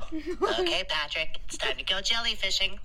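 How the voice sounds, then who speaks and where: A female-sounding put-on character voice speaks at a moderate pace. Clear background noise runs underneath. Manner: cartoonish, cheerful.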